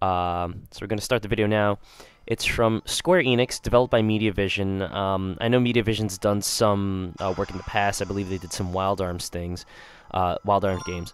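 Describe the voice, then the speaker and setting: A man with a fairly low pitch speaks at a moderate pace, his intonation fairly even. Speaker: video game reviewer. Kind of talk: gameplay commentary. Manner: halting, many fillers.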